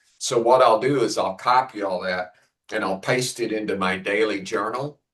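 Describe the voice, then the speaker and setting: A man with a fairly low pitch speaks in a plain, everyday voice. His pace is moderate and his intonation fairly even. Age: 60s. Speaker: writer. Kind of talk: casual chat.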